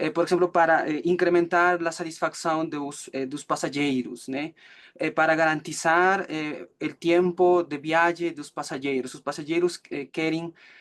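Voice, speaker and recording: A man with a Peruvian accent speaks at a fairly slow pace in a fairly high pitch, his intonation monotone and flat but his loudness shifting in big swings. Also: quiet background. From Peru, Cusco. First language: Spanish (speaking Portuguese). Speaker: student presenting final thesis. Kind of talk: academic presentation. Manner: halting, many fillers.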